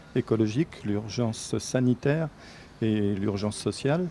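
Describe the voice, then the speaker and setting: Dark, mellow tone at a fairly slow pace. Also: man. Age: 60s. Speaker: political candidate, retired nurse. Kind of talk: interview.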